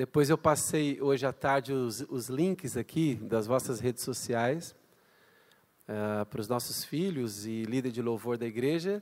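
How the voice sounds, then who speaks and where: Here a man speaks at a fairly slow pace and a medium pitch. His pitch variation is ordinary. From Brazil. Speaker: guest pastor, missionary. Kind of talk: sermon. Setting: church. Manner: animated.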